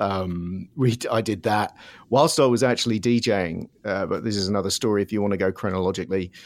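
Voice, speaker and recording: With a southern English accent, a man speaks at a fairly quick pace, his fairly low pitch showing ordinary variation. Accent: southern English, London-area. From Surrey, south of London, England. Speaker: music producer and DJ. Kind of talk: casual interview, storytelling. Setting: video or remote call from Los Angeles.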